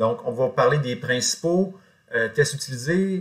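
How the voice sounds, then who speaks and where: A man speaks in a somewhat breathy voice. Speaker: college teacher. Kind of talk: lecture. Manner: hesitant, many fillers.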